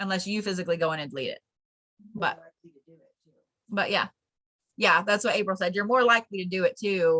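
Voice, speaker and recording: With a bright, sharp tone and a medium pitch, a woman speaks at a fairly quick pace with long, frequent pauses and ordinary pitch variation, the sound dry and close with no echo. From Colorado. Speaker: spiritual teacher. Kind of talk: online class.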